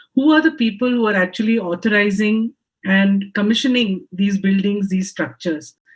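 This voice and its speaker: At a moderate pace, a woman talks in a somewhat breathy voice of medium pitch with ordinary pitch variation. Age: 50s. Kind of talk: panel discussion. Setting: home office video call. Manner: hesitant, frequent ums.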